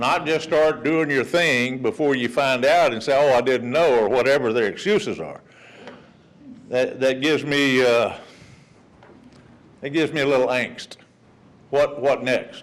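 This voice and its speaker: A man with a Texan accent at a fairly high pitch, ordinary pitch variation, fairly slow with long, frequent pauses, plus audible room echo and noticeable background noise. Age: 60s. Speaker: resident speaking at public comment. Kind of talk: public comment at council meeting. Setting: city council meeting. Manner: casual, folksy.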